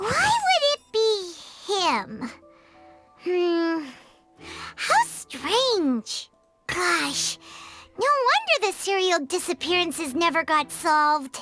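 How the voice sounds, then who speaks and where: A put-on character voice at an extremely high pitch, very slow, with long, frequent pauses and faint music in the background. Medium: video game.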